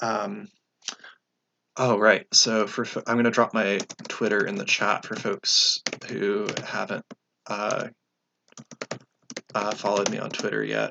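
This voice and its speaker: A man talks fairly slowly, with long, frequent pauses. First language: Russian (heritage speaker). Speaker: leftist education YouTuber. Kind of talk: casual livestream Q&A. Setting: livestream. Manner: halting, many fillers.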